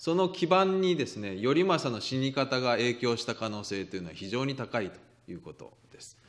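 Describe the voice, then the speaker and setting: A man at a medium pitch and moderate pace, with very wide pitch swings and big swings in loudness against a quiet background. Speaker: literature professor. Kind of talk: lecture. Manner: halting, many fillers.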